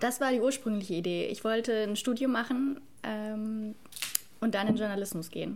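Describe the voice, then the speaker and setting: Against noticeable background noise, a woman speaks at a moderate pace in a fairly high pitch with ordinary pitch variation. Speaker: cultural studies student. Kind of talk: casual chat.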